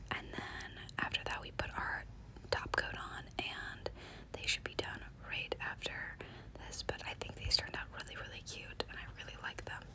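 Whispering at a moderate pace, a woman leaves long, frequent pauses, her loudness swinging widely against noticeable background noise. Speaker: nail artist. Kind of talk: ASMR nail tutorial. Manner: whispered, soft-spoken.

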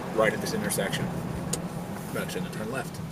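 A man is speaking. Loud background noise runs underneath. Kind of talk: casual tour commentary. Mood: friendly, fond of town. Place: car. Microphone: phone near.

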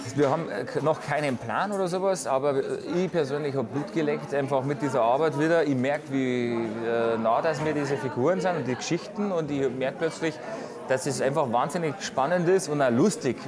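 A man speaks at a moderate pace. There is noticeable background noise. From Bavaria. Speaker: film director. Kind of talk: interview answer. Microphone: lapel.

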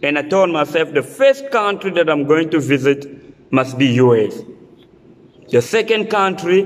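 Fairly high in pitch, a man speaks with lively intonation. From Republic of the Congo. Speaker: vlogger; vlogger sharing visa interview experience. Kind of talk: tutorial. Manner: halting. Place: home room. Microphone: phone near.

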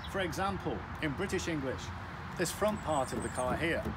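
A man speaks while noticeable noise fills the background. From UK. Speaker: English teacher. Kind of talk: educational talk to camera. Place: street. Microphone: phone near.

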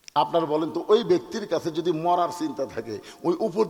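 The intonation stays lively, with noticeable noise in the background. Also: man. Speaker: Islamic preacher. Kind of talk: sermon.

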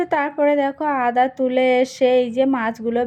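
A woman with a Sundarbans accent and a dark, mellow tone. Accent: Sundarbans village Bengali. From Sundarbans, West Bengal. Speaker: village lifestyle vlogger. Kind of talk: casual vlog narration.

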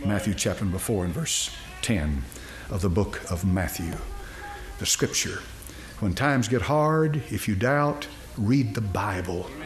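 Against clear music in the background, a man with a fairly low pitch speaks at a fairly slow pace, pitch swinging very widely, with long, frequent pauses. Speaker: preacher. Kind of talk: sermon. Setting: church auditorium with congregation. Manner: animated, exhorting the congregation; conversational, with repeated words and false starts. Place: church. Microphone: podium.

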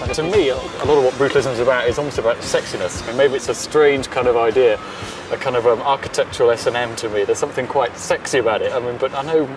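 Very fast speech from a man at medium pitch, with music in the background. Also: ordinary pitch variation. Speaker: architecture critic and TV presenter. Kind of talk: documentary presenting to camera and interview. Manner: slightly wooden.

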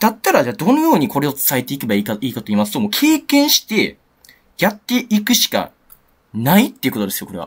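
This man speaks at a very fast pace. His loudness swings widely. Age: 20s. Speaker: crypto trader YouTuber. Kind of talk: market analysis monologue. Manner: casual, many fillers.

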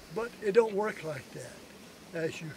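The sound is dry and free of echo. Noticeable background noise sits behind a man talking. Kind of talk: speech at community celebration. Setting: event with live audience. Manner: halting. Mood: humorous, anecdotal. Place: open country.

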